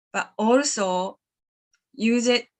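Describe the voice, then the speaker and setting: A woman speaks with a Japanese accent at a fairly high pitch, her pitch varying in an ordinary way. The background is quiet. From Japan, Sapporo, Hokkaido. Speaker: animal communicator. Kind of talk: live stream talk. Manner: halting.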